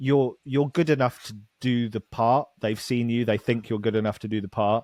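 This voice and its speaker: A man with a British accent speaks at a moderate pace and a medium pitch, with ordinary pitch variation, in a dry, close sound with no echo on a very clean recording with a silent background. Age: 30s. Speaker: actor. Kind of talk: casual chat.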